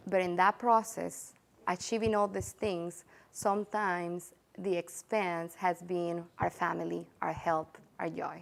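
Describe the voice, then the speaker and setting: A woman with a Spanish accent, fairly low-pitched, at a fairly slow pace with fairly even intonation. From El Salvador. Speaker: real estate agent. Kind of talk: interview. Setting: studio. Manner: heartfelt, some hesitation.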